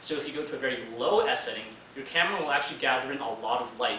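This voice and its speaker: A very fast, fairly high-pitched male voice over noticeable background noise. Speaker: university student. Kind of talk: informative class speech.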